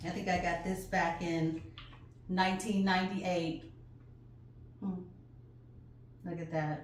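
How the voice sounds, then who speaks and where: Speaking at a very slow pace with long, frequent pauses, a woman has a fairly low pitch and fairly even intonation. Audible room echo and noticeable background noise surround her. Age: 60s. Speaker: flag-making craft teacher. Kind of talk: tutorial. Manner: casual, chatty.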